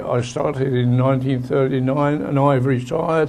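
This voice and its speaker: Noticeable background noise runs under the recording. A man talks at a medium pitch. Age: 80s+. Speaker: retired train driver. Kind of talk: personal reminiscence talk.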